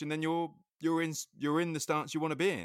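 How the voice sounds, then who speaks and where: Recorded very cleanly against a silent background, with a dry, close sound and no echo, a man with an English accent talks very fast at a fairly high pitch. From England. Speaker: skateboarding podcast host. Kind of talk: casual chat.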